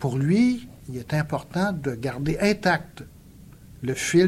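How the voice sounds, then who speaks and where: This man's pitch is fairly high, and his voice is somewhat breathy. His intonation is lively. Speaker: sociologist and essayist. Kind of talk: public lecture.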